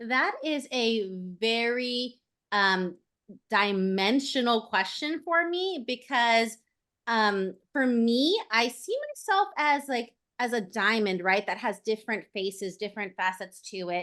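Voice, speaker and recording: The tone is bright and sharp, with lively intonation at a very slow pace. The background is quiet. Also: woman, fairly high pitch for a woman. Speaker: voice-over artist and actress. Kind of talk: podcast guest interview answer. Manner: chatty, upbeat, friendly.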